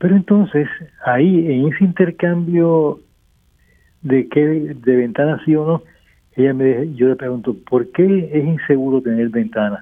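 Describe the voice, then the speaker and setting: In a normal speaking voice, a man talks at a fairly slow pace with fairly high pitch and ordinary pitch variation. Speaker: architect. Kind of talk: radio interview.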